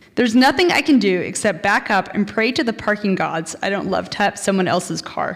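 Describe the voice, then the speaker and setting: With vocal fry and lively intonation, a woman speaks at a medium pitch and a moderate pace. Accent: American. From Texas. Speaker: storyteller. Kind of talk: live storytelling.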